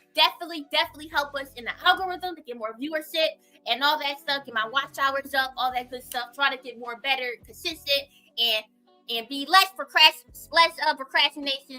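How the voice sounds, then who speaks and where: Over music in the background, a woman in a raised, projected voice talks at a fairly quick pace with a high pitch, an animated tone, ordinary pitch variation, and big swings in loudness. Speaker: livestreamer, commentary YouTuber. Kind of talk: casual livestream chat.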